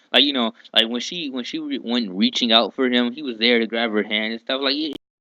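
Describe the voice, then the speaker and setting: In a dry, close recording with no echo, a man talks at a medium pitch with lively intonation. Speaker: anime reviewer. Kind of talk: casual talk to camera. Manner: laid back, hesitant, with repeats and pauses; laid back, easy flowing.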